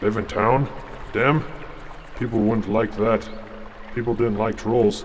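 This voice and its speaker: Over clear background noise, a man in a put-on character voice at medium pitch leaves long, frequent pauses. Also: fairly slow pace. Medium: audio drama. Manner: simple broken speech.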